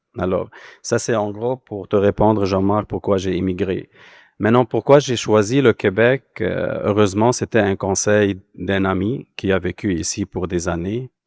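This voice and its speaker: A man with an ordinary speaking voice talks at a fairly slow pace and a fairly low pitch, with fairly even intonation. The recording is very clean and dry, close with no echo, over a silent background. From Lebanon. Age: 40s. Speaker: immigrant panelist. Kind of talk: panel discussion.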